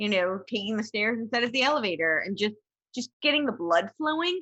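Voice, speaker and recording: A fairly high-pitched woman speaks at a moderate pace with a bright, sharp tone. Her pitch swings very widely. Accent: American. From New Jersey. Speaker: motivational speaker and podcaster. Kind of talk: podcast interview.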